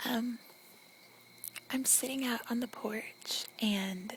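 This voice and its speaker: A soft-spoken woman talks at a very slow pace in a fairly high voice with fairly even intonation. Noticeable background noise can be heard. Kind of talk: ASMR accent tag, casual talk.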